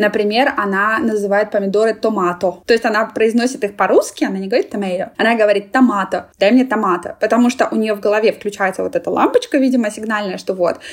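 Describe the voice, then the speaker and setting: Against noticeable background noise, a woman of fairly high pitch rushes at a very fast pace with hardly any pauses and ordinary pitch variation. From Russia (Moscow). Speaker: international community specialist. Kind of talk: interview. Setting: remote call.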